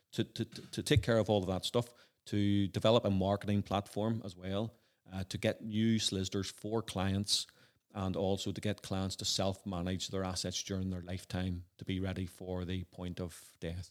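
A Northern Irish accent at a moderate pace, monotone and flat, in a very clean recording with a silent background. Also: man, very deep, low pitch for a man. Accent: Northern Irish (Belfast). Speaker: entrepreneur and former lawyer. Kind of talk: interview. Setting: at home.

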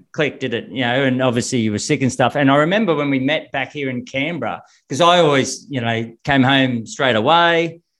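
Here a man speaks with an Australian accent at a fairly quick pace. His pitch variation is ordinary, and there are hardly any pauses. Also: medium pitch for a man. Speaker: swimming coach. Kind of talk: interview.

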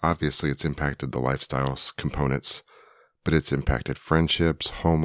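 On a very clean recording with a silent background and a dry, close sound with no echo, a man speaks at a moderate pace. His very deep, low voice rumbles, with monotone, flat intonation. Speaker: podcast co-host. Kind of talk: casual chat.

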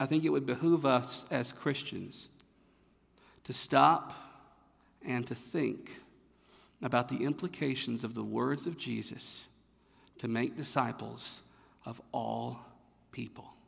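Pausing long and often, a man with a North Carolina accent speaks at a very slow pace. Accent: Southern American (North Carolina). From North Carolina, US South. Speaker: pastor. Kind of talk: sermon. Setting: church.

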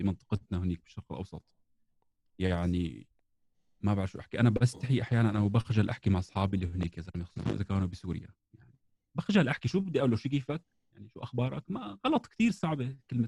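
A man with fairly low pitch and a dark, mellow tone speaks at a very fast pace, somewhat breathy, with lively intonation and big swings in loudness. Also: dry, close sound with no echo. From southern Syria (Daraa), later Jordan. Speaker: beatboxer and musician. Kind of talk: casual chat.

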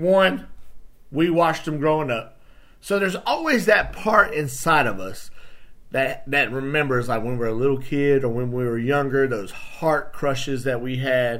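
There is audible room echo as a man speaks in an animated tone. His pitch is fairly high and his intonation lively. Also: moderate pace. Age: 30s. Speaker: podcast host. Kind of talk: solo casual talk.

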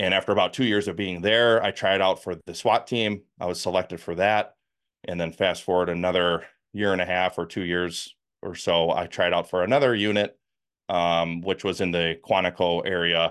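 A man with a Wisconsin accent speaks in a very deep, low voice at a moderate pace, his intonation fairly even. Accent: northern US (Wisconsin). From US Midwest, Milwaukee, Wisconsin. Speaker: former FBI agent and whistleblower. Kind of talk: interview.

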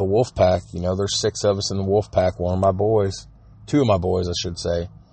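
A man's fairly low pitch comes out somewhat breathy, with fairly even intonation. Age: 30s. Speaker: podcast host. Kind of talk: casual monologue. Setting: phone recording.

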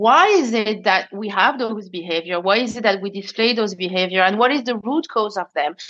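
A woman with a French accent speaks at medium pitch and a moderate pace. Her pitch variation is ordinary, and she takes hardly any pauses. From France. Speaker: conscious leadership expert. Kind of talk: casual interview chat.

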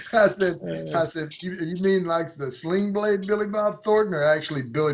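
With an American accent, a man speaks in a high pitch with lively intonation. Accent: thick redneck. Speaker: outdoor filmmaker, hunter. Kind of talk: casual chat.

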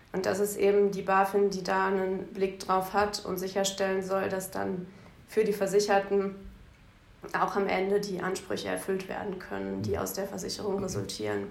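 In a room with audible echo, a woman speaks at a moderate pace and medium pitch, her intonation flat and monotone. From Bielefeld, Germany. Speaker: lawyer. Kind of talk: interview.

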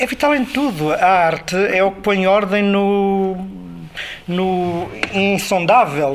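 A man's high-pitched voice at a very slow pace, over noticeable background noise. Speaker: film sound director. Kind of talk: interview. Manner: halting.

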